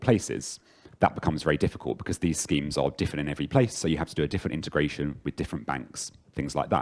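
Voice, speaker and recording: Very fast and with vocal fry, a man talks in an English accent. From London, England. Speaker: software engineer, conference speaker. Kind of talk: conference talk. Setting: stage with audience.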